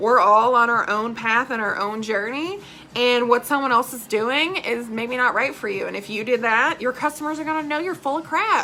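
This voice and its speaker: Loud and animated, a high-pitched woman talks at a moderate pace with hardly any pauses and ordinary pitch variation, against noticeable background noise. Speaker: direct sales team leader. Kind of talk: live training video. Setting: live stream. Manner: casual, animated.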